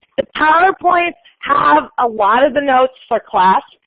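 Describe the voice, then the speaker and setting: Words come at a fairly slow pace. The voice belongs to a woman. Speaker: university accounting instructor. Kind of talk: lecture. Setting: classroom.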